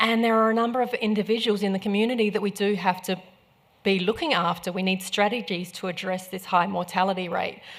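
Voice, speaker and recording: Fairly even intonation at a fairly quick pace, with an Australian accent. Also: woman. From South Australia. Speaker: medical professor. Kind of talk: conference talk.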